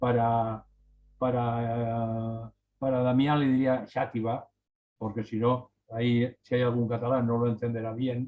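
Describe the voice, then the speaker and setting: A man's medium-pitched voice moves fairly slowly, its intonation monotone and flat. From Spain, Valencia region. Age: 60s. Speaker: writer. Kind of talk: casual chat. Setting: video call. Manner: halting.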